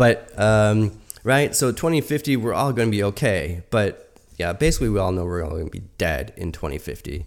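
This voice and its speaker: At a fairly quick pace, a man talks at a fairly low pitch with very wide pitch swings. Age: 40s. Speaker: podcast host and energy researcher. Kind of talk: solo talk reading through a draft essay. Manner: halting, with frequent repetitions and fillers.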